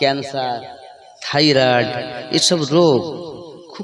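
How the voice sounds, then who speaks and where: There is noticeable background noise and an audible room echo. A man talks with ordinary pitch variation. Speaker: Islamic preacher. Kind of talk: sermon. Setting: religious gathering with audience.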